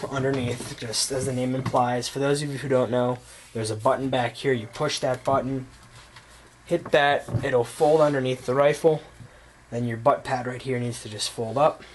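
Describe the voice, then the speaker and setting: A man is talking, his intonation fairly even. Background noise is noticeable throughout. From United States, Polish immigrant family. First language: Polish. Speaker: gun reviewer. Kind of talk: casual product show-and-tell. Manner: casual, with many fillers.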